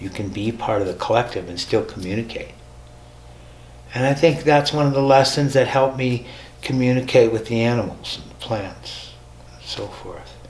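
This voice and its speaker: In audible room echo and noticeable background noise, a man with an American accent speaks at a moderate pace and medium pitch, with ordinary pitch variation and big swings in loudness. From US Midwest, North Dakota. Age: 70s. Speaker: spiritual teacher. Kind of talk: personal testimony. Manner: conversational, with hesitations.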